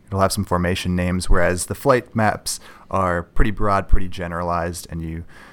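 A man's very deep, low voice in a Minnesota accent, at a fairly quick pace with ordinary pitch variation, on a very clean recording with a silent background. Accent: Upper Midwest (Minnesota) American. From Minnesota, north shore of Lake Superior. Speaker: geology graduate student and app developer. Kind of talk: interview.

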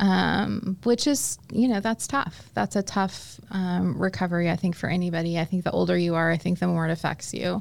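A woman with a normal speaking voice and an American accent talks at a moderate pace, fairly low in pitch, with lively intonation, very even loudness and hardly any pauses, on a very clean recording with a silent background. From Indianapolis, Indiana, US Midwest. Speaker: leadership consultant. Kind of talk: casual chat.

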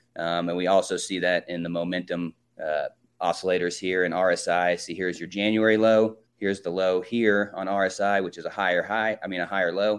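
Keeping a flat monotone at a moderate pace, a man talks with a very deep, low pitch. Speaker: market analyst. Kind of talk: market commentary chat. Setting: video call.

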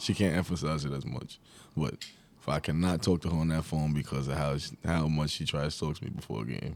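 A man with a New York accent talks at a very fast pace in a very deep, low voice marked by vocal fry. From New York, Long Island. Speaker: college basketball player. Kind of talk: interview.

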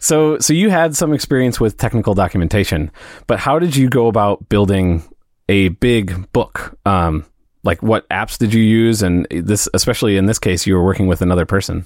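Very clean recording, silent background, with a man speaking in a Midwestern accent. His fairly low voice has lively intonation, very even loudness and a moderate pace. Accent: American Midwest. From US Midwest (St. Louis). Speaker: podcast host. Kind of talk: casual interview chat.

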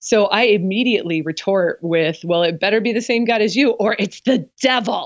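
A woman with an American accent has a normal speaking voice, a fairly high pitch and lively intonation. She keeps a moderate pace with hardly any pauses and very even loudness. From US Pacific Northwest (Portland, Oregon). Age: 40s. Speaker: apologetics professor and author. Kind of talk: interview.

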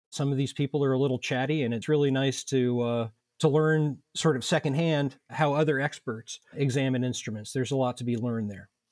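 A man with an ordinary speaking voice and an American accent, medium pitch, fairly even intonation, a fairly quick pace and hardly any pauses, on a very clean recording with a silent background and a dry, close sound with no echo. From Indianapolis, Indiana. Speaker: violin society board member. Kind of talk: casual interview.

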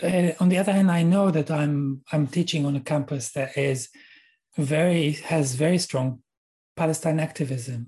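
Speaking with an Israeli accent, a man has a fairly high pitch and a dark, mellow tone. His intonation is fairly even, his pace moderate, and the background quiet. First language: Hebrew. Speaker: university lecturer. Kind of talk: interview. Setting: video call.

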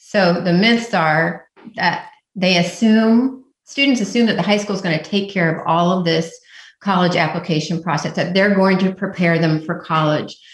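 A woman speaks in a somewhat breathy, medium-pitched voice. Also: ordinary pitch variation, moderate pace. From Indiana. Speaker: college application essay coach. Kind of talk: radio interview.

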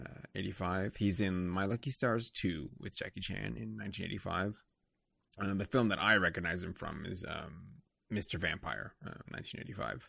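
A man's very deep, low voice at a fairly slow pace, bright and sharp in tone, with vocal fry and lively intonation. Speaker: podcast co-host. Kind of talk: casual chat.

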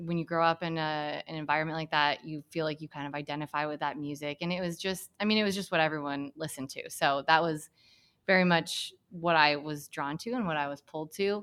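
Fairly quick female speech with an American accent and a very deep, low pitch. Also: very clean recording, silent background. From Hamilton, Michigan, US Midwest. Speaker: school staff member. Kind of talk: casual chat.

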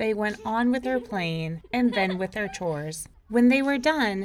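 Intonation here is lively. The reading aloud is done in a natural voice.

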